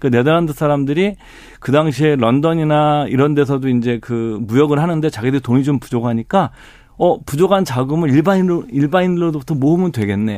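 This man's pitch is fairly high. His tone is dark and mellow. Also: ordinary pitch variation, fairly quick pace. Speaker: investment and pension expert. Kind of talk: radio interview. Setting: studio.

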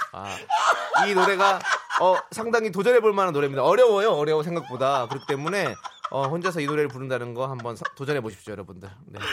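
A man talks at a very fast pace, his fairly high voice making very wide pitch swings. Noticeable background noise runs behind him. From Incheon, South Korea. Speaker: radio host. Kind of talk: casual chat.

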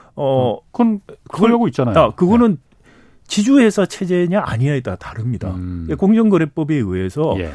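This man's voice is fairly high-pitched and dark and mellow in tone, moving at a moderate pace with very wide pitch swings. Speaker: economics professor. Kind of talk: interview.

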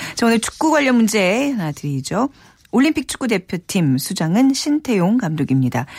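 Fairly high in pitch and somewhat breathy, a woman speaks at a moderate pace with very wide pitch swings, the sound dry and close with no echo. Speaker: radio host. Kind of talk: radio show hosting. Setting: studio.

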